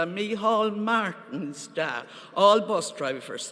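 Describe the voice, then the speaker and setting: Spoken very slowly in a Cork accent, the voice comes through over noticeable background noise. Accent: Cork Irish. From Ireland, Cork. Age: 70s. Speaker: party member delegate. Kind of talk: conference speech.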